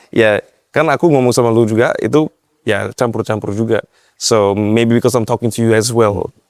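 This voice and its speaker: Here a man talks at a fairly quick pace with a slight Western accent. The sound is dry and close, with no echo. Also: medium pitch for a man, fairly even intonation, very even loudness. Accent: slight foreign (Western) accent in Indonesian. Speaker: e-commerce marketing consultant. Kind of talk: podcast interview. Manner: code-switching Indonesian and English.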